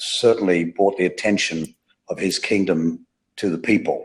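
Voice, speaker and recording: This is a man with an Australian accent. He talks at a moderate pace. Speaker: pastor. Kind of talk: interview, testimony.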